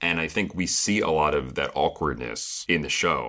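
A man's very deep, low voice with vocal fry and a bright, sharp tone. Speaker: podcast co-host discussing a reality show. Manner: conversational, analytical.

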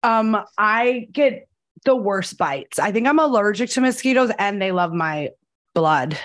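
A woman with an American accent speaks in a normal speaking voice, her pitch fairly high. Her intonation is lively and her pace fairly slow. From New Jersey. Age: 30s. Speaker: podcast host and casting director. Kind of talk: casual chat. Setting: video call.

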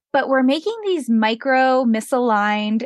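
A woman with an American accent and an unremarkable speaking voice, at a moderate pace with ordinary pitch variation, dry and close with no echo, over a quiet background. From Pennsylvania, US. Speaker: business coach. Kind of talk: interview.

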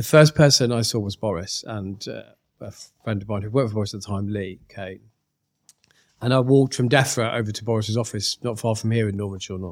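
A man speaks in an ordinary speaking voice at a fairly low pitch. His intonation is fairly even, but his loudness swings widely. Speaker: podcast host. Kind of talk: casual interview.

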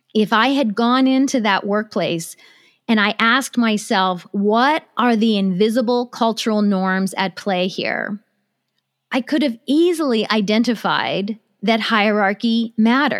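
On a very clean recording with a silent background, a woman with an American accent uses a normal speaking voice at a fairly high pitch, with ordinary pitch variation and very even loudness. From USA. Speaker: business consultant. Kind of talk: interview.

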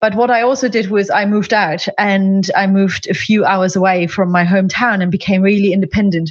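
A woman with a somewhat breathy, medium-pitched voice talks at a fairly quick pace with fairly even intonation, very even loudness and hardly any pauses. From East Germany. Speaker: life coach. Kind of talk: interview.

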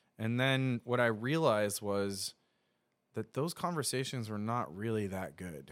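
On a very clean recording with a silent background, a man speaks in a plain, everyday voice. He has a medium pitch and lively intonation. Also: fairly slow pace. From US Northeast. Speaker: filmmaker and motorcycle traveler. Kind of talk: casual chat. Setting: studio.

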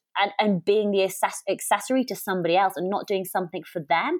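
Speaking at a very fast pace, a woman with an English accent has a fairly high pitch. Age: 30s. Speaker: podcast host and adventurer. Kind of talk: casual chat.

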